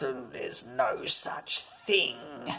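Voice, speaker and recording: A put-on character voice, growling and raspy, sits at a low-to-middle pitch. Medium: read story. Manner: gruff, dismissive.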